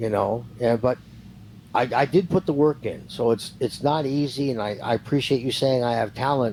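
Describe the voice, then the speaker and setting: A man speaks at a moderate pace and a medium pitch, with ordinary pitch variation. He has an unremarkable speaking voice. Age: 60s. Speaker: retired professional wrestler. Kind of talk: interview.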